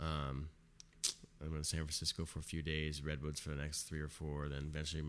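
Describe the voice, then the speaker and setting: A man's very deep, low pitch at a very fast pace, with monotone, flat intonation and very even loudness. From California and Arizona. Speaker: podcast host. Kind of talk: casual chat. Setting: home recording setup.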